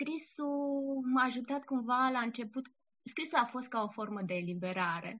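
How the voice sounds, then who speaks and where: Her voice is high. The woman's intonation is lively. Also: moderate pace. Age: 30s. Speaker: blogger and poet. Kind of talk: interview.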